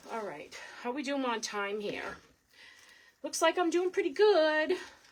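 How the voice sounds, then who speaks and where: Pitched high, a woman speaks at a fairly slow pace with very wide pitch swings. She talks in a strong Boston accent. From Boston, Massachusetts. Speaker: wreath crafter. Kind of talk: live craft tutorial. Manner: chatty, casual.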